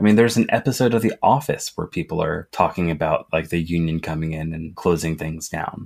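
Talking at a fairly quick pace, a man uses an ordinary speaking voice with lively intonation. The recording is very clean, with a silent background. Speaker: union organizer, retail worker. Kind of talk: interview.

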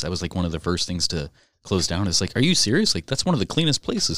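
The very clean recording, with a silent background, captures a man speaking with an American accent. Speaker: podcast host. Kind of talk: casual banter. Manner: fast talker.

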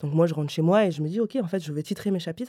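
A woman speaks in a dark, mellow tone at a fairly low pitch, with ordinary pitch variation. The sound is dry and close with no echo, in a very clean recording with a silent background. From Paris, 20th arrondissement. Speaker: novelist. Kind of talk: interview. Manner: halting, many repetitions and fillers.

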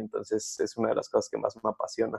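The clip has a man speaking over a quiet background. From Mexico City area. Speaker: pastor's son, church worker, podcast co-host. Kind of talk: casual chat.

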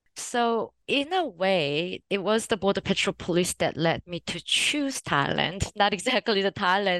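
A woman speaks at a moderate pace with a fairly bright tone and lively intonation. The sound is dry and close, with no echo.

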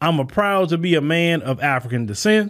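An animated man with an American accent, moderate pace and ordinary pitch variation. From United States. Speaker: podcast host, commentator. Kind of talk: monologue response video.

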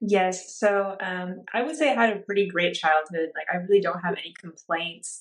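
At a moderate pace, a woman talks with medium pitch. Her pitch variation is ordinary. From Orange County, California. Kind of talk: testimony.

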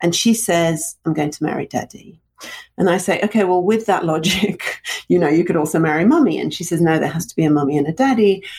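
Here a woman with a British accent talks at a very fast pace. Her pitch is fairly low, with ordinary pitch variation. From England, London (born in Russia). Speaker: storytelling coach and speaker. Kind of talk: interview conversation.

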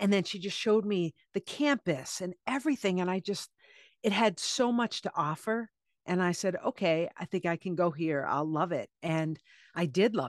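In a quiet background with a dry, close sound and no echo, a woman with a normal speaking voice and an American accent talks at a moderate pace and medium pitch with lively intonation. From US Northeast (Cape Cod, Massachusetts). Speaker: author. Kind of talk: interview conversation.

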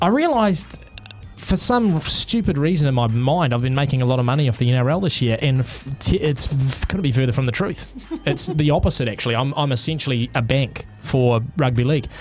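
Noticeable background noise sits behind a man talking at a fairly quick pace. His loudness stays very even, and his pitch varies an ordinary amount. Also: medium pitch for a man. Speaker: radio co-host. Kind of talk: casual on-air banter. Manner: chatty, jokey.

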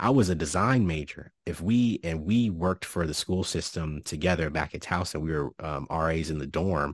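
Over a quiet background, a man with a very deep, low pitch speaks at a moderate pace with hardly any pauses and ordinary pitch variation, in a dry, close sound with no echo. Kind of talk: casual chat. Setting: video call.

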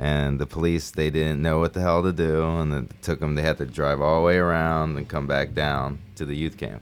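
A man speaks at a moderate pace in a very deep, low pitch with hardly any pauses. His intonation is monotone and flat, over noticeable background noise. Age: 40s. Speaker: podcast co-host. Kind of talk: casual chat.

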